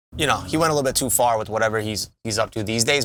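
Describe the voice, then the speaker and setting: A man with a New York accent and ordinary pitch variation, in a very clean recording with a silent background. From Long Island, New York. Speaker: podcast co-host. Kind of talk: casual chat.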